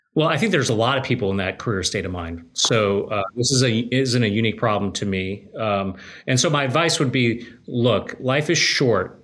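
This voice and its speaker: This man talks in a normal speaking voice with an American accent. His pitch is medium with ordinary variation, and his pace is moderate. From US West, Colorado. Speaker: publishing company CEO, former lawyer. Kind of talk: interview.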